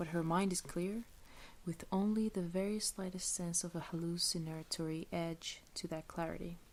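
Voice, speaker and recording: Soft-spoken and whispering, the voice moves at a fairly slow pace. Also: woman. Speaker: ASMR reader. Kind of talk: soft-spoken ASMR book reading. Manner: soft-spoken, whispery, relaxing.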